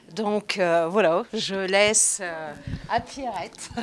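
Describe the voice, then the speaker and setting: A woman at a medium pitch and a very slow pace, with ordinary pitch variation and noticeable background noise. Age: 60s. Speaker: fitness class member. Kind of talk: interview.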